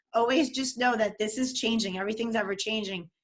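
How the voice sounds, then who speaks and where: In a New York accent, a woman speaks quickly enough, her fairly high voice bright, sharp and animated. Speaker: dating and relationship coach. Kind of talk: interview.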